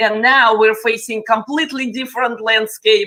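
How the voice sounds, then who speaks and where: A woman with a Russian accent, a bright, sharp tone and a moderate pace. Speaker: panel moderator, tech influencer. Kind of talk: panel discussion.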